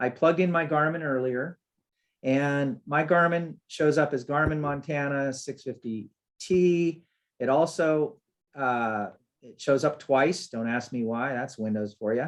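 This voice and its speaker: A man with a plain, everyday voice speaks at a fairly slow pace and a fairly high pitch, with ordinary pitch variation and big swings in loudness. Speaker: software developer presenting a webinar. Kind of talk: webinar tutorial. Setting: webinar with screen share. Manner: casual, with fillers.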